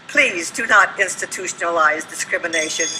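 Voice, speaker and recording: Speaking at a moderate pace and medium pitch, a woman is heard over noticeable background noise. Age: 80s+. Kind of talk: public comment speech at city council. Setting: council meeting room.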